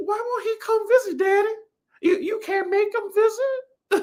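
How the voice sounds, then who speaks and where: Extremely high, squeaky put-on character voice. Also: moderate pace. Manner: whiny, pleading.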